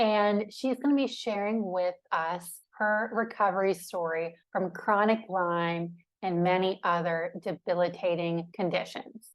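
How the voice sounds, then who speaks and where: A plain, everyday voice with ordinary pitch variation. It moves at a fairly slow pace with hardly any pauses. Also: woman, medium pitch for a woman. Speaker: podcast host, recovered from chronic fatigue syndrome. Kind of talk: interview host talk.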